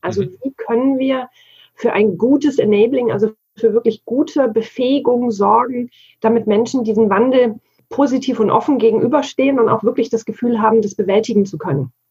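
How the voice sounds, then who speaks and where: A plain, everyday voice from a woman, fairly high in pitch with ordinary pitch variation. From Bavaria, Germany. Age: 40s. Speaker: digital work consultant. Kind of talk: interview conversation.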